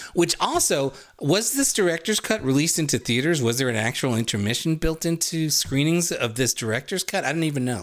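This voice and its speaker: A plain, everyday voice speaks at a fairly quick clip with lively intonation and hardly any pauses. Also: man, fairly high pitch for a man. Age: 50s. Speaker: podcast co-host. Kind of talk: casual chat.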